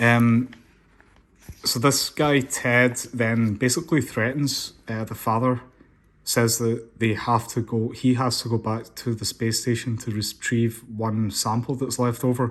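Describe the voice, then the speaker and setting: A man speaks fairly slowly in a Scottish accent, his intonation flat and monotone. The recording is very clean, with a silent background. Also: medium pitch for a man. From Scotland. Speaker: comic book reviewer. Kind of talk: casual talk to camera.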